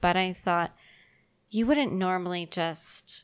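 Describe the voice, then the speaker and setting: Recorded very cleanly against a silent background, a woman with an ordinary speaking voice talks at a fairly slow pace, fairly low in pitch with ordinary pitch variation. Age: 20s. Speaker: podcast co-host. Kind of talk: casual chat.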